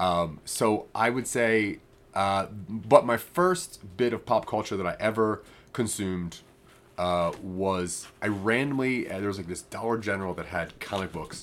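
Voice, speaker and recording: An American-accented man talks in an unremarkable speaking voice at a fairly slow pace, his pitch fairly low with ordinary variation. The recording is very clean, with a silent background. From US, northeast Maryland. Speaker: podcast host. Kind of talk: casual chat.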